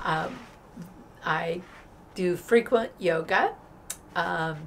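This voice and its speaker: Talking at a very slow pace, a woman shows vocal fry, a fairly low pitch and ordinary pitch variation. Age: 70s. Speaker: recovering alcoholic sharing sobriety story. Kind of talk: interview. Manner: relaxed and conversational with fillers.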